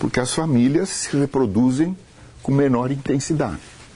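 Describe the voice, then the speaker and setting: This man talks fairly slowly, his tone dark and mellow. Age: 70s. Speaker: university lecturer. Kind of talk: lecture.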